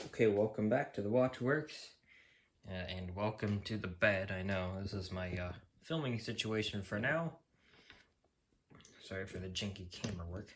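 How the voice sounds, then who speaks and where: A man's voice comes across somewhat breathy. He leaves long, frequent pauses. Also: fairly low pitch for a man, ordinary pitch variation, moderate pace. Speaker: YouTuber, clock collector. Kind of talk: casual unboxing vlog. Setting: filming on bed in bedroom.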